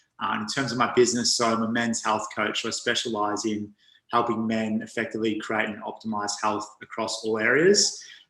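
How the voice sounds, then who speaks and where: A man with a bright, sharp tone talks at a fairly quick pace in a medium pitch, his intonation flat and monotone. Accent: Australian. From Australia. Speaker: men's health coach. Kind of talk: interview.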